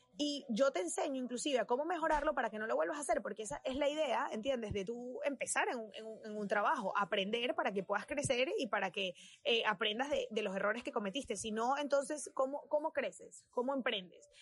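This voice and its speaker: A woman talks at a fairly quick pace in a Venezuelan accent. Her high pitch moves with lively intonation. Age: 20s. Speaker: fashion designer. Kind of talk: casual chat.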